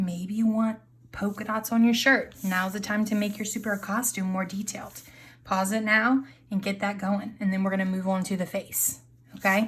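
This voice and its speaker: At a moderate pace, a woman talks with a medium pitch, fairly even intonation, and a somewhat breathy sound. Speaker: art teacher. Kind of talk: tutorial.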